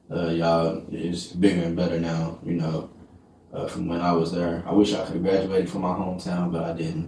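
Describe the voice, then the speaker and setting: A man with an American accent speaks at a fairly quick pace in a very deep, low voice, his intonation monotone and flat, with noticeable background noise and audible room echo. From Texas, small town near Dallas. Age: 20s. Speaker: podcast host. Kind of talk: casual interview.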